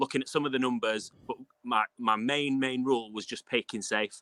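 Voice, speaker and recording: Speaking at a fairly quick pace, a man has a medium-pitched voice with a bright, sharp tone. The sound is dry and close, with no echo. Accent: northern English. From northern England, Castleford near Leeds. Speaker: fantasy football podcaster. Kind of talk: casual chat. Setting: video call, outdoors.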